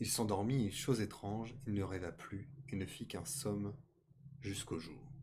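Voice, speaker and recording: Audible room echo surrounds a somewhat breathy man whose pitch varies in an ordinary way. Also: fairly low pitch for a man, moderate pace. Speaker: streamer reading tales aloud. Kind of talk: reading aloud. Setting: live stream. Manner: stuttering.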